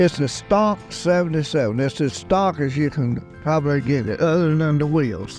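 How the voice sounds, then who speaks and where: With music playing in the background, a man talks at a moderate pace, his pitch fairly high for a man and its variation ordinary. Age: 90s. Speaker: classic Bronco owner and off-roader. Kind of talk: interview answer.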